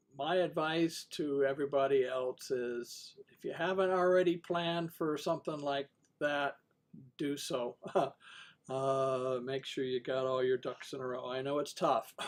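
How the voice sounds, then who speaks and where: With long, frequent pauses, a man speaks at a fairly slow pace in a fairly high pitch and fairly even intonation. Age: 60s. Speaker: amateur radio net control host. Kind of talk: amateur radio net talk. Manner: halting, many fillers.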